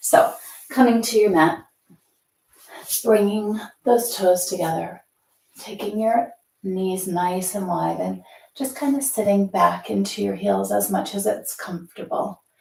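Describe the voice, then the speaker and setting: Using a put-on character voice, a woman speaks raspy and soft-spoken at medium pitch, at a fairly slow pace with long, frequent pauses. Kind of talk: calm yoga-instructor. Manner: quiet, soft, instructing.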